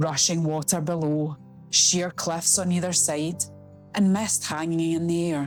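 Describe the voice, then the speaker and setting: Over music in the background, a woman with a Scottish accent speaks at a fairly slow pace and a fairly low pitch. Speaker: travel vlogger. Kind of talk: travel video voiceover.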